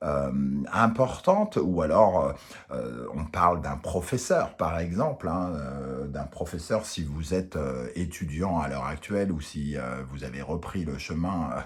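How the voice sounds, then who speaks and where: A man with a very deep, low voice talks at a very slow pace. His intonation is lively. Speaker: tarot reader. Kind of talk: tarot reading. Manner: hesitant, many fillers.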